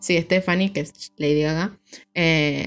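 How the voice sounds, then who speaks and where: This woman speaks with a very deep, low pitch. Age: 20s. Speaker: podcast co-host. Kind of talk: casual chat.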